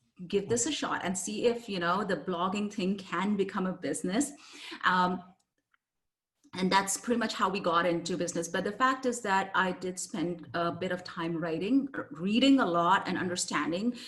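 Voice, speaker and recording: A woman of medium pitch with a non-native accent and lively intonation. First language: not English. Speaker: copywriter and business owner. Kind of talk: interview.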